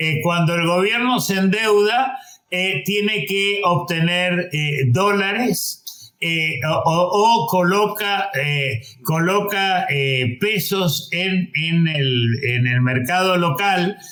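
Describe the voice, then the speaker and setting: Speaking very slowly in a high voice, a man uses lively intonation at very even loudness, with noticeable background noise and audible room echo. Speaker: economist. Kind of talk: panel discussion. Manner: halting.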